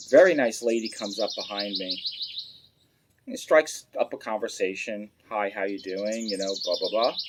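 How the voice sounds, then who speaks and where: A man with a New York accent at a moderate pace. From Long Island, New York. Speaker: pipe smoking channel host. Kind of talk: storytelling. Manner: casual, many filler words.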